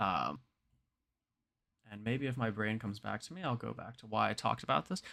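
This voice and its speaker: Here a man speaks with a bright, sharp tone at medium pitch, with vocal fry and lively intonation. The recording is very clean, with a silent background. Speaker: crypto data analyst streamer. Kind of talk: livestream tutorial. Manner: fast; hesitant, many fillers.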